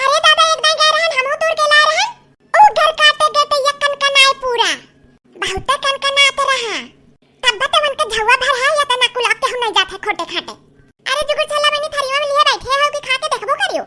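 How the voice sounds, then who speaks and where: A woman's cartoonish character voice, extremely high-pitched, with lively intonation and a fairly quick pace. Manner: fast, gossipy rustic chatter.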